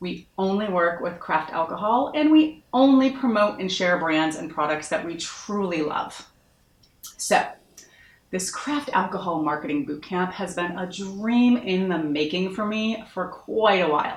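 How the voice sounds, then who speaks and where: A woman with an American accent talks at a medium pitch and a fairly slow pace. Her intonation is lively and her tone animated. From US Northeast, Massachusetts. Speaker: marketing consultant. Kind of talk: online course introduction.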